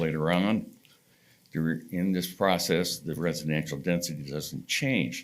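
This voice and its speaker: At a moderate pace, a man talks with a very deep, low pitch and fairly even intonation. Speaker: applicant's representative at planning hearing. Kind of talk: presentation at public hearing. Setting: public hearing room.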